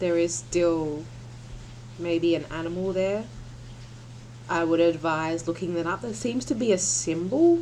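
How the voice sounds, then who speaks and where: Leaving long, frequent pauses, a woman speaks at a moderate pace with lively intonation and a fairly low pitch. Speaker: tarot reader. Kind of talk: tarot reading. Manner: soft-spoken; halting.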